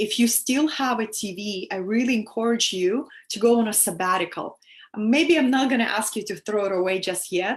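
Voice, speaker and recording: Against a quiet background, a woman with a Russian accent talks at a moderate pace, using a fairly high pitch and ordinary pitch variation. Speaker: spiritual teacher. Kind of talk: live stream talk to viewers. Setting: live stream via video app. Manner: animated.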